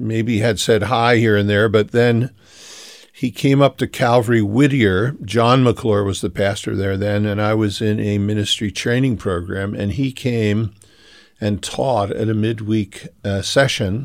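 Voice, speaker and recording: In a normal speaking voice with an American accent, a man talks at a fairly slow pace with fairly even intonation and a fairly low pitch, on a very clean recording with a silent background. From Philadelphia, US. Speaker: pastor. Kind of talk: interview. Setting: radio show.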